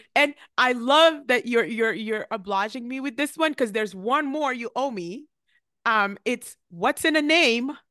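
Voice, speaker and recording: With a raised, projected voice, a woman speaks at a fairly slow pace in a high pitch, her bright, sharp tone and lively intonation heard in a dry, close sound with no echo. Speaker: pharmacist podcast host. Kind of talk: casual chat.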